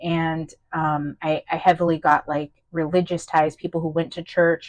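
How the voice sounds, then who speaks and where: Over a quiet background, a woman speaks at a fairly low pitch with monotone, flat intonation. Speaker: tarot reader. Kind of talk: channeled tarot reading. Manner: fast; hesitant, many fillers and restarts.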